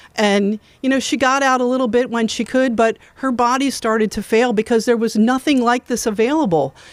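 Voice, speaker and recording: Speaking at a moderate pace with fairly even intonation, a woman has a plain, everyday voice, captured in a very clean recording with a silent background and a dry, close sound with no echo. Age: 60s. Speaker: foundation representative. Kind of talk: ceremony speech. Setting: outdoors.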